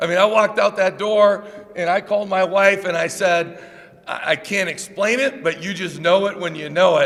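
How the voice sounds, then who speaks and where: Loud and high-pitched, a man speaks at a moderate pace with fairly even intonation over noticeable background noise. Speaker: college basketball head coach. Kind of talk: press conference introduction speech. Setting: press conference with audience.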